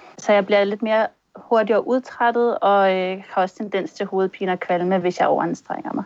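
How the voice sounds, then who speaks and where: A woman at a medium pitch and moderate pace, fairly even in intonation, in an ordinary speaking voice. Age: 30s. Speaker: concussion patient. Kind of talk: testimony in interview. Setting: video call.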